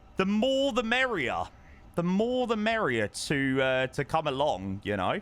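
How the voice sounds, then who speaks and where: Speaking with an English accent at a fairly slow pace, a man with a high pitch sounds animated and uses very wide pitch swings. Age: 20s. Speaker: streamer. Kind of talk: casual chat.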